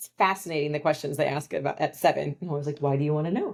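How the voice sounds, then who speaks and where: A woman with a Californian accent talks at a very fast pace. Her pitch is very deep and low, and her intonation fairly even. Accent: Californian American English. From US, Southern California. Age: 40s. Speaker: financial advisor and business founder. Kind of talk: casual interview chat.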